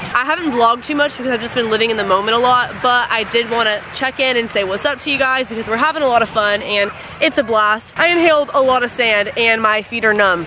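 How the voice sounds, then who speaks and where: A woman talks at a very fast pace with hardly any pauses and ordinary pitch variation, her sound dry with no echo amid noticeable background noise. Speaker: vlogger. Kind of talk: casual vlog chat. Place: beach. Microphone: phone near.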